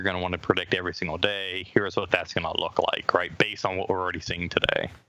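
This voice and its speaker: A man with a very deep, low pitch at a very fast pace, amid noticeable background noise. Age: 30s. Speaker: startup CEO. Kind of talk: interview.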